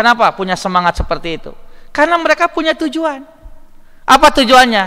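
Against a quiet background, the speaker uses a raised, projected voice at a very fast pace, with very wide pitch swings. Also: man. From West Java, Indonesia. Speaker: Islamic preacher. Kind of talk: sermon. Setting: mosque. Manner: conversational, bantering with audience. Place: hall. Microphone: podium.

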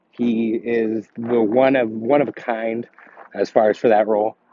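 The voice has monotone, flat intonation and a dry sound with no echo. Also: man. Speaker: vlogger. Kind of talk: casual vlog chat, movie review. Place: street. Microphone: phone near.

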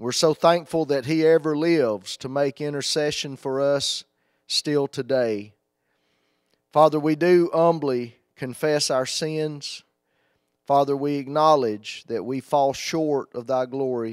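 The sound is dry, with no echo, over a quiet background. The pace is fairly slow and the intonation fairly even. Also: man. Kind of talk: public prayer. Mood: reverent, humble. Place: church. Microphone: handheld.

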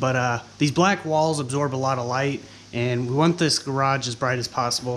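At a moderate pace, the voice shows ordinary pitch variation over light background noise. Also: man. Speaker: DIY vlogger. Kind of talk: casual vlog chat. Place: garage. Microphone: phone near.

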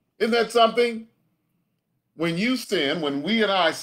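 Against a quiet background, a man talks at a moderate pace in a high pitch with very wide pitch swings. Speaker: pastor. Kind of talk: sermon. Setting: live-streamed video from home. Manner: animated call-and-response preaching, urging the congregation to say amen. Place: home room.

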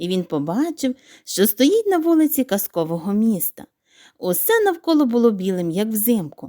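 The background stays quiet. A natural reading voice carries the text.

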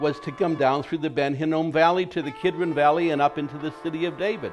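Clear music plays in the background as the speaker talks at a fairly quick pace. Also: man. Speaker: interviewee. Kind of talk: interview answer. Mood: warm, enthusiastic. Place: home room. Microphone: lapel.

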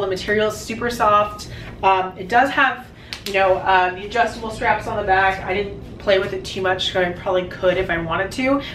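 A woman with an American accent at a fairly quick pace, amid light background noise and audible room echo. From San Francisco Bay Area. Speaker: YouTuber. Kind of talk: try-on haul review. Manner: casual, filler-heavy. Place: home room. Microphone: camera far.

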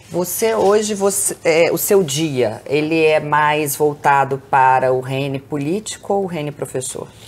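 A woman with a very deep, low pitch, lively intonation and hardly any pauses. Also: fairly slow pace. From Brazil, Belo Horizonte (Minas Gerais); Minas Gerais, Brazil. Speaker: podcast host, Portuguese teacher. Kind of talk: casual interview. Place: home room. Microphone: lapel.

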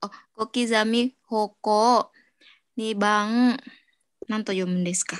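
Against a quiet background, a woman with a fairly high pitch speaks at a very slow pace in a monotone, flat intonation, with long, frequent pauses. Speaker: caregiver trainee; teacher or study leader. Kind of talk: reading aloud; lecture. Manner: halting. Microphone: video call.

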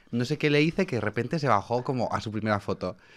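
A man talks at a very fast pace and medium pitch. His intonation is lively. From Spain. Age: 20s. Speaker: nightlife promoter; podcast guest. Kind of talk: casual chat. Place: studio. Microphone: studio mic.

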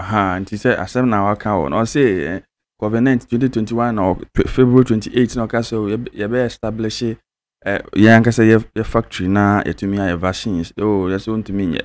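A man speaks at a fairly quick pace in a fairly low voice, his intonation fairly even.

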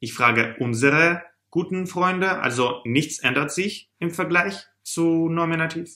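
A man's high-pitched, bright, sharp voice, very slow, with lively intonation against a quiet background. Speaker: German teacher. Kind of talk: tutorial. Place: home room.

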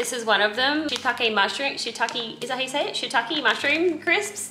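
With noticeable background noise in the recording, the talking proceeds at a moderate pace. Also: woman. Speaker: vlogger. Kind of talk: casual vlog chat. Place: kitchen. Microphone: phone near.

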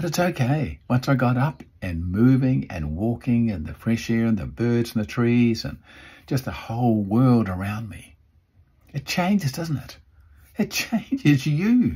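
A man speaks at a moderate pace in a somewhat breathy voice, his pitch swinging very widely. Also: quiet background. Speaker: motivational speaker. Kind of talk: motivational vlog talk. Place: home room. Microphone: phone near.

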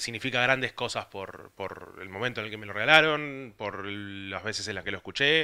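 A man speaks at a medium pitch with a bright, sharp tone. His pitch varies in an ordinary way over a quiet background. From Argentina. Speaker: music site contributor; presenter. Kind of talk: casual record presentation. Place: home room. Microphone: handheld.

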